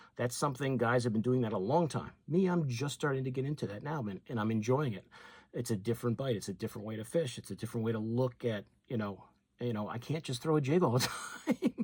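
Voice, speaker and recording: Speaking at a very fast pace, a man of medium pitch sounds somewhat breathy, with ordinary pitch variation. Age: 60s. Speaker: fishing YouTuber. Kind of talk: casual talk to camera.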